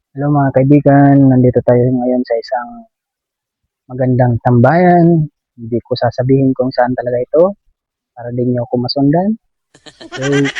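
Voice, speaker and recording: A man's medium-pitched, fairly even speech plays against music in the background. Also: moderate pace. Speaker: vlogger. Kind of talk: casual vlog talk. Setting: outdoors.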